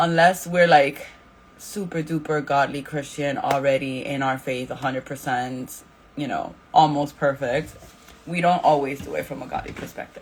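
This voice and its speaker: A woman's very deep, low voice with fairly even intonation, big swings in loudness and noticeable background noise. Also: moderate pace. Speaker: Bible study leader. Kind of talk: Bible study talk. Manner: casual, filler words.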